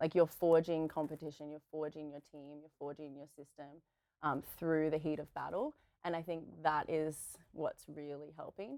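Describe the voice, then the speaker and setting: A woman with an Australian accent, very deep and low in pitch, dark and mellow in tone, monotone and flat, with big swings in loudness. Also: moderate pace, dry, close sound with no echo. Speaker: pro beach volleyball player and physiotherapist. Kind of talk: casual interview. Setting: studio.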